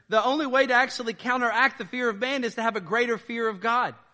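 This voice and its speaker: A man speaks in a raised, projected voice with a bright, sharp tone. His pace is moderate, over a quiet background. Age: 40s. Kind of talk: sermon. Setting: church.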